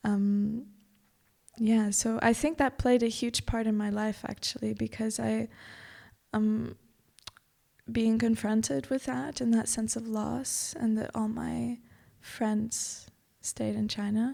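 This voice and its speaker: Speaking very slowly with a Portuguese accent, a woman leaves long, frequent pauses. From Macau until six, then Portugal. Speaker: yoga teacher. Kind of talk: podcast interview.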